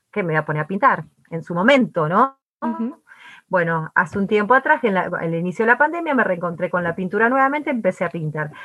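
With a bright, sharp tone, a woman talks at a very fast pace with very wide pitch swings. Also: medium pitch for a woman. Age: 40s. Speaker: entrepreneur and artist. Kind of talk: interview conversation. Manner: energetic.

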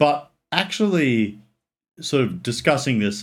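Very clean audio with a silent background, featuring a man with an Australian accent. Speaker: film buff, former law student. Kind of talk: casual chat. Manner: halting.

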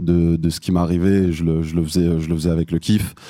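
This man has a very deep, low pitch and fairly even intonation. He talks at a moderate pace. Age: 20s. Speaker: rapper. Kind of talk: interview. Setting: live audience.

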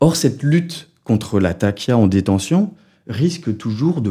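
Dark and mellow in tone, a man's voice carries lively intonation. The background is silent and the recording very clean. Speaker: sociologist researcher. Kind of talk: research interview. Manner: hesitant with fillers.

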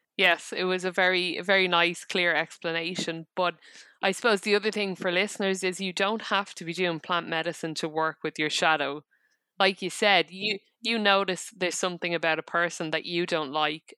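In a very clean recording with a silent background, a woman with an Irish accent speaks at a fairly low pitch with a bright, sharp tone and fairly even intonation, the sound dry and close with no echo. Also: moderate pace. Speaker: psychotherapist. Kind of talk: interview.

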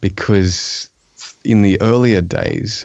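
A man with an Australian accent talks in a fairly low pitch with fairly even intonation. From eastern Australia. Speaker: software developer and technical writer. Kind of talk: casual chat.

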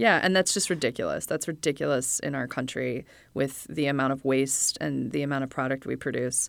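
A woman's very deep, low voice with vocal fry, ordinary pitch variation and a fairly quick pace, on a very clean recording with a silent background. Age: 40s. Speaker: media producer. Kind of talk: casual interview. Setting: studio.

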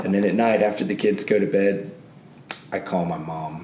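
Over noticeable background noise, a man with a Southern US accent talks in a fairly low pitch with ordinary pitch variation. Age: 30s. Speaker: author and school teacher. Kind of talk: casual interview.

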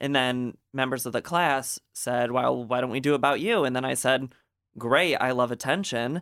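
In an ordinary speaking voice, a man talks at a moderate pace and medium pitch. His intonation is fairly even, and the recording is very clean with a silent background. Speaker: student filmmaker and stand-up comedian. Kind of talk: casual radio interview. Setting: studio. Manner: joking, self-deprecating.

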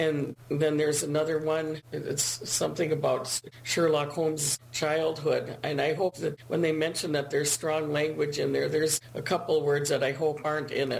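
A woman talks at a moderate pace in a very deep, low voice with monotone, flat intonation. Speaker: listener caller. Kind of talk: casual chat. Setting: Zoom call.

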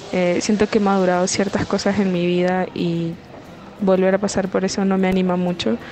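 A woman talks fairly slowly, her intonation fairly even, while noticeable background noise fills the recording. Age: 20s. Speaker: caller sending a voice message. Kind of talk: personal question via voice note. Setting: recorded WhatsApp voice message. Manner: hesitant, with filler sounds.

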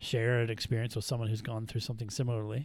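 A somewhat breathy male voice at a medium pitch. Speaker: trauma therapist. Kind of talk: casual chat. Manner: halting, hesitant.

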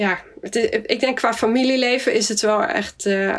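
A woman with a slight Swedish accent speaks at a fairly slow pace, her fairly high pitch showing ordinary variation. Noticeable background noise is present. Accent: slight Swedish tinge in Dutch. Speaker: general practitioner. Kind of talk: interview. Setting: video call. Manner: hesitant, many fillers.

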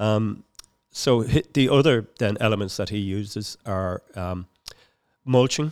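With a Dublin accent, a man talks at a fairly slow pace and a fairly low pitch, using ordinary pitch variation. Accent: Dublin Irish. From Dublin, Ireland (Finglas). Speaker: community environmental campaigner. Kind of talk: casual interview. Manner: halting.

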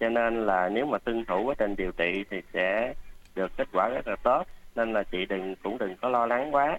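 A man with an unremarkable speaking voice talks at a fairly quick pace, at medium pitch with ordinary pitch variation. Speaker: doctor. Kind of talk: radio health advice interview. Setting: radio studio.

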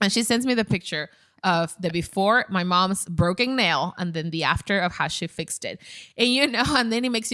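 A woman with a Spanish accent, a bright, sharp tone, lively intonation and a fairly quick pace, in a very clean recording with a silent background. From Ecuador. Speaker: content creator. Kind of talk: casual chat.

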